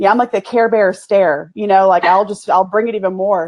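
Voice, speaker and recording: A woman with a Texas accent speaks at a fairly quick pace in a fairly high pitch, with ordinary pitch variation. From US South, East Texas. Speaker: business owner, PR agency. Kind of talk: casual interview chat.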